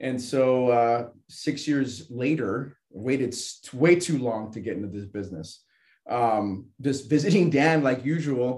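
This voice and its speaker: A man with a normal speaking voice talks at a fairly slow pace and medium pitch, showing ordinary pitch variation. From Southern California. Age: 30s. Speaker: financial services agent, bodybuilder. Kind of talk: casual interview.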